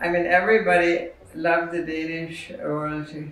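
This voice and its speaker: The speech is very slow, with audible room echo and light background noise. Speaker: interviewee. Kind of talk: interview answer. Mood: thoughtful, hesitant. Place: home room.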